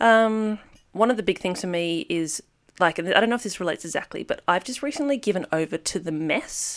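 A woman with an unremarkable speaking voice talks at a fairly quick pace, her medium pitch moving with lively intonation. The recording is very clean, with a silent background. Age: 30s. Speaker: mother. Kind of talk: casual chat.

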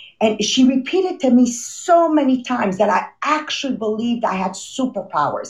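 A woman with a Quebec accent talks at a moderate pace in a high pitch, her intonation lively and her speech running on with hardly any pauses. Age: 50s. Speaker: motivational podcast host. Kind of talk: motivational talk. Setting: video call. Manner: animated.

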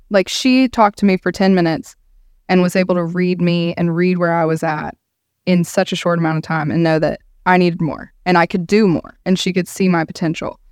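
An ordinary speaking voice: a woman at a fairly low pitch and moderate pace, in a very clean recording with a silent background and a dry, close sound with no echo. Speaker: title company employee. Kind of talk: casual chat. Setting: studio.

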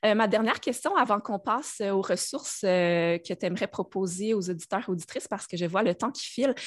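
In a very clean recording with a silent background, a woman with a Quebec accent talks at a fairly quick pace in a fairly high pitch, with hardly any pauses. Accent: Québécois French. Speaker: podcast host. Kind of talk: casual interview.

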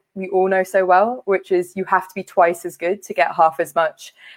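The woman's pitch sits in the medium range. She talks at a fairly quick pace. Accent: London. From West London. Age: 30s. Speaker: charity leader. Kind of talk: conference talk.

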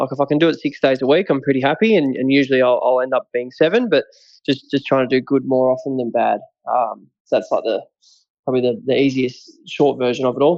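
Delivered at a very fast pace, this voice in an Australian accent shows ordinary pitch variation. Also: man, medium pitch for a man. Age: 20s. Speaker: mental health advocate, recovered addict. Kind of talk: interview, personal story.

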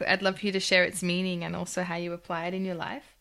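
Enthusiastic and bright with a sharp edge, a woman with a fairly low pitch speaks at a very fast pace. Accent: Australian. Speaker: podcast host and chiropractor. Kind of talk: interview. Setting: remote call.

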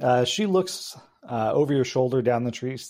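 A voice reads in a natural way.

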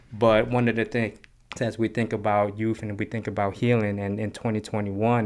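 An ordinary speaking voice: a man with an American accent, fairly low in pitch, at a fairly quick pace, on a very clean recording with a silent background. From West Oakland, California. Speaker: community youth worker. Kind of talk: guided meditation; interview.

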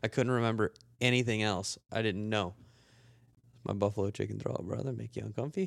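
A man with a fairly low pitch, ordinary pitch variation and a fairly quick pace broken by long, frequent pauses. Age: 20s. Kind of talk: casual chat.

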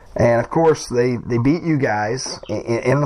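Noticeable background noise sits behind a man speaking at a fairly slow pace. His pitch is medium with ordinary variation. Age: 40s. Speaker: podcast host. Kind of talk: interview.

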